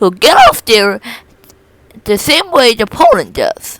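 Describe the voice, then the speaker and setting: A woman puts on a character voice, speaking high and fairly slowly. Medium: read story. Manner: cheerful, upbeat.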